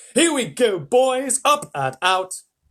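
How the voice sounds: This is a put-on character voice with big pitch swings. The pace is slow. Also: man, extremely high pitch for a man, fairly bright tone.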